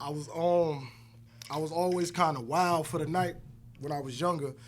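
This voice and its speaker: Audible room echo surrounds a man speaking at a moderate pace, his fairly high pitch held in fairly even intonation. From born in New Jersey, raised in Virginia. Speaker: rapper and independent filmmaker. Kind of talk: casual interview.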